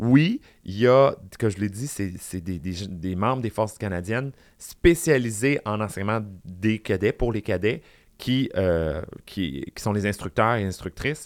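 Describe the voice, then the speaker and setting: In a very clean recording with a silent background, a man with a normal speaking voice talks at a fairly slow pace, his fairly low pitch carrying lively intonation. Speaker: drag queen and public speaker. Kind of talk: casual chat.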